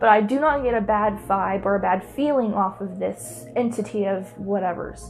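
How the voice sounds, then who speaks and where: A woman's voice is heard. Behind her, background noise is noticeable. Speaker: YouTuber telling paranormal stories. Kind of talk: casual storytime monologue. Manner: loud; animated.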